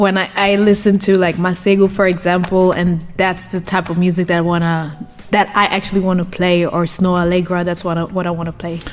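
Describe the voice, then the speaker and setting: Speaking with a German accent, a woman with a medium-pitched voice talks at a fairly quick pace, hardly pausing. Her intonation is monotone and flat, and background noise is noticeable. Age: 20s. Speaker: DJ and journalist. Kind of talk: interview. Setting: studio. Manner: hesitant, repeats words.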